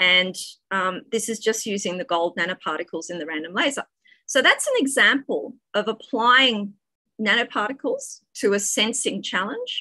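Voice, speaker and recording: A woman speaks at a moderate pace with a fairly high pitch and a bright, sharp tone. Her intonation is lively, and the background is quiet. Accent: Australian. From Australia. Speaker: physics professor. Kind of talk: academic talk. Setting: video call.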